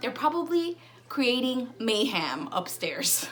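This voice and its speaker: A high-pitched woman speaks with ordinary pitch variation amid audible room echo and noticeable background noise. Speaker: family vlogger. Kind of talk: casual vlog. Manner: casual, chatty.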